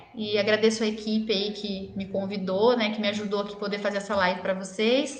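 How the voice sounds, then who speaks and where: Amid noticeable background noise and audible room echo, a woman with a medium pitch speaks at a fairly quick pace in a monotone, flat intonation with hardly any pauses. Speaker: dentist. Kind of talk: live-stream health talk with viewer Q&A. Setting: online live stream. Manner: fast.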